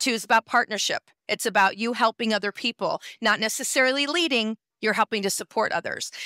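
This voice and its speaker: Speaking at a very fast pace, a woman with a fairly high, bright, sharp voice sounds animated, with ordinary pitch variation and a dry, close sound with no echo. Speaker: numerologist. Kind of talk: expert interview, explaining.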